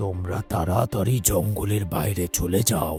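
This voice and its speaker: A cartoonish character voice from a man, very deep and low in pitch and raspy, with clear music in the background. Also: fairly slow pace. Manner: firm, decisive.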